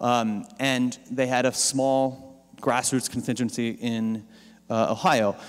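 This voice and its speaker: A man with an American accent and a plain, everyday voice speaks at medium pitch and a moderate pace. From Pennsylvania farm country, US. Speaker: digital campaign strategist, keynote speaker. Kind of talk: conference keynote talk. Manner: casual, with fillers and repetitions.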